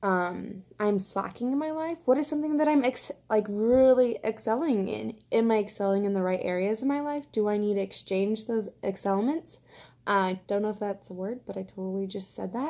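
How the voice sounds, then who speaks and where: At a moderate pace, a woman speaks with a dark, mellow tone, a fairly high pitch and lively intonation. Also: very clean recording, silent background. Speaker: vlogger. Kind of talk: casual monologue. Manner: animated.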